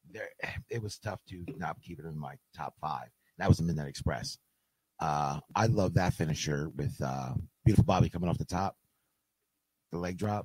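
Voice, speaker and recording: A man with a very deep, low voice and vocal fry speaks at a moderate pace, leaving long, frequent pauses. His loudness swings widely, and the sound is dry and close with no echo. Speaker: wrestling manager and fan. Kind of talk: casual chat. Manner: quiet; soft-spoken.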